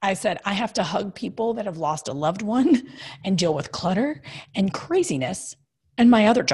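At a moderate pace, a woman with an American accent talks at medium pitch in a somewhat breathy voice with very wide pitch swings. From Kentucky. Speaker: TV host, comedian and designer. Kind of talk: casual interview. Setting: video call.

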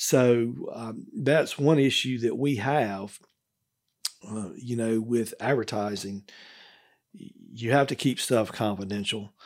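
A man's very slow speech at a medium pitch, with ordinary pitch variation. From Mississippi (Gillsburg, rural south). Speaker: lawyer. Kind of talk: interview. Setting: studio.

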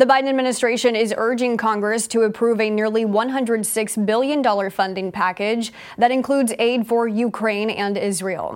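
This woman has a normal speaking voice, fairly high in pitch, moving at a moderate pace with fairly even intonation. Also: hardly any pauses. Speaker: news anchor. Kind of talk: studio newsreading, crisp and polished broadcast delivery. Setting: studio. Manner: formal, steady, brisk and authoritative; even, neutral tone with little emotion.

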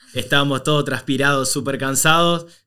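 In a very clean recording with a silent background, a man with a normal speaking voice and medium pitch talks at a moderate pace with ordinary pitch variation. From Argentina, Córdoba province small town. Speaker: migration content creator. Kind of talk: casual interview.

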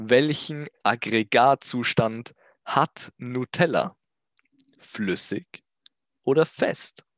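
Over a quiet background, a man talks very slowly at medium pitch with ordinary pitch variation and long, frequent pauses, in a dry, close sound with no echo. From Austria. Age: 20s. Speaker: YouTuber. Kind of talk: comedic solo monologue. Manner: animated.

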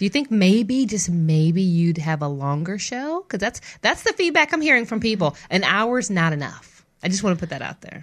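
Against a quiet background, a woman talks at a medium pitch and moderate pace in a warm, upbeat tone, her pitch swinging very widely. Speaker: radio host. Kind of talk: casual interview chat. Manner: warm, upbeat, enthusiastic.

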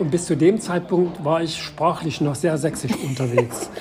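Speaking at a moderate pace, a man has a fairly high pitch and ordinary pitch variation. There is noticeable background noise. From Saxony. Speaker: city tour guide and restorer. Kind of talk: casual interview.

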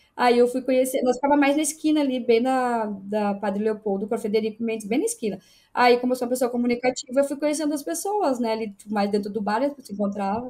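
With a southern Brazilian accent, a woman talks at a very fast pace with hardly any pauses, her high-pitched voice carrying a dark, mellow tone. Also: ordinary pitch variation. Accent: southern Brazilian (gaúcho) Portuguese. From interior of Rio Grande do Sul, Brazil (Erechim). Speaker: football fan. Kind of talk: casual chat.

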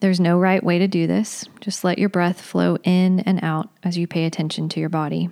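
In a normal speaking voice, a woman talks with hardly any pauses. Her pitch is fairly low and her intonation fairly even. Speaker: movement and meditation leader. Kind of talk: guided meditation. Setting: recorded podcast session. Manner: slow, calm, soothing; gentle, instructive pacing.

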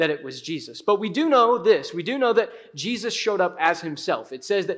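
The speaker simply reads the words aloud in a plain way.

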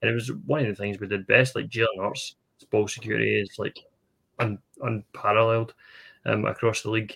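A man with a Scottish accent speaks at a fairly quick pace with long, frequent pauses, in a dry, close sound with no echo. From Scotland. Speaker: podcast co-host. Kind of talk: interview.

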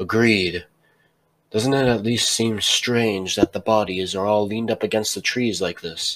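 Using a put-on character voice, a man talks at a moderate pace. His pitch is fairly low and his intonation fairly even. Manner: soft, gentle, reassuring.

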